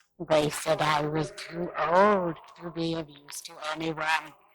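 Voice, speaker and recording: In a put-on character voice, a female-sounding voice speaks at a fairly slow pace with a very deep, low pitch and monotone, flat intonation. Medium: read story.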